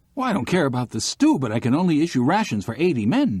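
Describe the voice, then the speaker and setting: A man puts on a character voice, fairly high in pitch, racing at a very fast pace with very wide pitch swings. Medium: read story.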